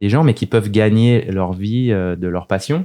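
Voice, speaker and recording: A man talks at a fairly low pitch with ordinary pitch variation. His tone is dark and mellow. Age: 30s. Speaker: DJ and music producer. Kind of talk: casual interview chat. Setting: studio.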